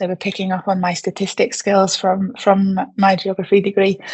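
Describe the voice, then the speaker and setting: A woman with a British accent speaks in a medium pitch. Her voice is somewhat breathy and her pace fairly quick. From England. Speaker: postdoctoral researcher in digital health ethics. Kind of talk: panel discussion.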